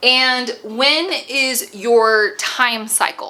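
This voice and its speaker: A woman's fairly high-pitched voice comes through over noticeable background noise. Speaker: business consultant. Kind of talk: tutorial.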